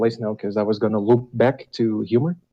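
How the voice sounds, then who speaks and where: A man speaks at a medium pitch with a non-native accent. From Europe. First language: not English. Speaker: caller. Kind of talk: casual call-in chat. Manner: hesitant, many fillers.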